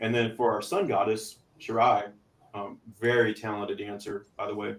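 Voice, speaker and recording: With a Texas accent, a man talks at a moderate pace and keeps his intonation fairly even. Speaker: podcast co-host and metal band member. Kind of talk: casual chat. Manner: hesitant, many fillers.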